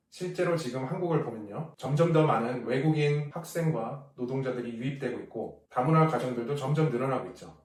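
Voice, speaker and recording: At a moderate pace, an ordinary speaking voice shows ordinary pitch variation. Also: man. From South Korea. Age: 40s. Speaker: pastor. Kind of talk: casual talk to camera.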